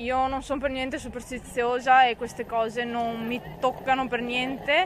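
A woman's high voice at a moderate pace, flat and monotone in intonation, dry with no echo, over light background noise. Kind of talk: interview answer. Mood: calm, slightly disappointed after loss. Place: stadium. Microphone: handheld.

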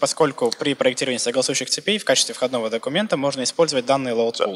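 This man speaks at a very fast pace. His pitch varies an ordinary amount. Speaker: Russian interpreter; presenter. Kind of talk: simultaneous interpretation of a presentation. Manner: hesitant, filler words. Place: hall.

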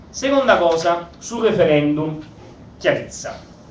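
A man speaks at a high pitch with very wide pitch swings. Noticeable background noise runs underneath. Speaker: participant with legal/procedural expertise. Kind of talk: public assembly speech.

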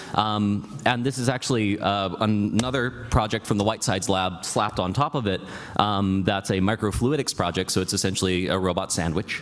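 A man's fairly low voice at a fairly quick pace, hardly any pauses, very even loudness. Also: ordinary pitch variation. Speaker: hacker presenting a project; presenter. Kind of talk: conference talk. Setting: stage with audience. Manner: humorous. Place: hall.

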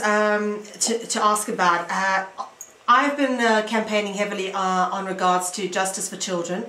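A woman is speaking. There is noticeable background noise along with audible room echo. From South Africa. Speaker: radio host and author. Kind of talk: interview. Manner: halting.

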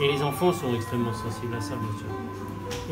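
Loud music plays in the background. A man speaks over it at a fairly slow pace. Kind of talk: interview answer. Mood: warm, reflective. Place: office. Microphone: phone near.

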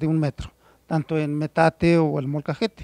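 Against a quiet background, a man's voice comes through dry with no echo. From central Mexico, Puebla (San Nicolás de los Ranchos); Puebla, Mexico. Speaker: stone artisan. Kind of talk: interview. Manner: halting, many fillers.

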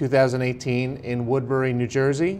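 A man is heard over light background noise. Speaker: oral history interviewer. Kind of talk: interview questions. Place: meeting room.

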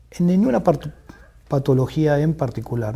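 A man speaks at a moderate pace in a fairly high pitch, his tone dark and mellow and somewhat breathy. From Argentina, Buenos Aires. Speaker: neuroscience professor; guest. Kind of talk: interview. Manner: mixes Spanish and Portuguese, halting. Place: studio. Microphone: lapel.

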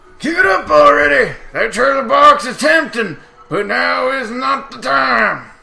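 A man shouts at a fairly slow pace. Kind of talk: player reading game dialogue in a comic voice. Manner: mocking, boastful.

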